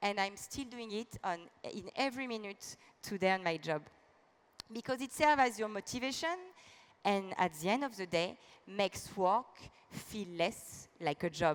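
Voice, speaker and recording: A woman of medium pitch speaks with a French accent, leaving long, frequent pauses. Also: lively intonation, moderate pace. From France. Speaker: business executive. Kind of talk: keynote speech.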